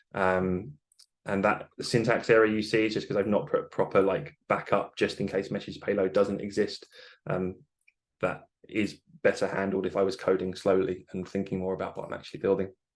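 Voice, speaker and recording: A man's fairly low-pitched voice with fairly even intonation. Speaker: software developer and webinar presenter. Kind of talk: live software demo webinar. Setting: online webinar. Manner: fast.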